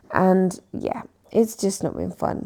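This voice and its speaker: A woman with a British accent, speaking at a fairly slow pace. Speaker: decluttering vlogger. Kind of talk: casual vlog chat.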